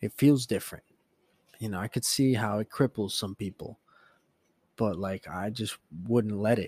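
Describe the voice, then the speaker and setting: Soft-spoken, the speaker keeps a fairly even intonation and leaves long, frequent pauses, with a dry, close sound and no echo. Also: man, fairly low pitch for a man, moderate pace. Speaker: podcast host and teacher. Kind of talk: casual solo monologue. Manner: casual, profane.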